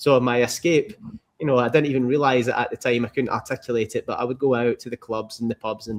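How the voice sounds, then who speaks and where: With a Scottish accent, a man speaks at a very fast pace using fairly even intonation. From Scotland. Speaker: entrepreneur, former car mechanic. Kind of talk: interview. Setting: podcast.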